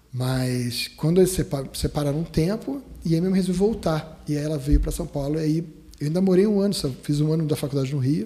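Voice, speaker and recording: Speaking at a fairly quick pace, this man has a fairly high pitch and ordinary pitch variation. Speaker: dentist, dental radiologist. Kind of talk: podcast interview. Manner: halting, many restarts.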